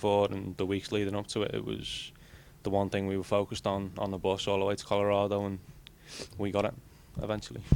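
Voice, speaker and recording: In an English accent, a man with a fairly low voice talks very fast. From England. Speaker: college soccer player. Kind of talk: interview.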